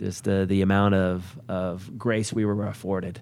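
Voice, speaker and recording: This man's voice sits fairly low and has a dark, mellow tone. His intonation stays flat and monotone. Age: 40s. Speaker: company owner and CEO. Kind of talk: interview.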